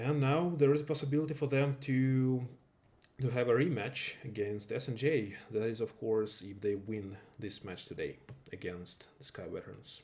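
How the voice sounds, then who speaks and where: His voice dark and mellow and somewhat breathy, a man speaks at medium pitch with ordinary pitch variation and a moderate pace. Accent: non-native. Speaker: esports game caster. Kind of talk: live commentary. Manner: halting, with self-corrections.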